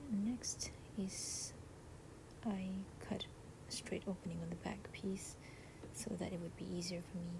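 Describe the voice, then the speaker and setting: Whispered words come at a fairly slow pace against noticeable background noise. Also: woman. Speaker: parent making a baby costume. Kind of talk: DIY craft tutorial narration. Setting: at home while baby sleeps. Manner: whispery, quiet.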